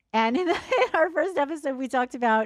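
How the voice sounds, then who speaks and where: A woman with a New Jersey accent, going at a very fast pace. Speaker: podcast host. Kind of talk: casual chat.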